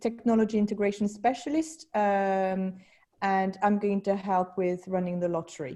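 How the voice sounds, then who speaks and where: A woman with a French accent speaks in a dark, mellow tone. Her intonation stays fairly even. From France. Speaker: school technology specialist. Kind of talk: online meeting presentation. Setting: video call. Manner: halting.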